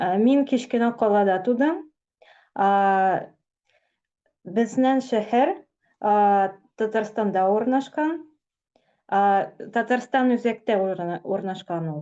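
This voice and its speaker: A woman with a Tatarstan accent and a dark, mellow tone, fairly slow pace, long, frequent pauses, ordinary pitch variation, and a quiet background. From Tatarstan, Russia. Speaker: blogger. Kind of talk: casual interview. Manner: halting, hesitant.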